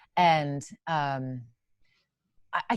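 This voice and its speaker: The recording is very clean, against a silent background. The voice is a woman's. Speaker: songwriter and wildlife advocate. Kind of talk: interview. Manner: fast; animated.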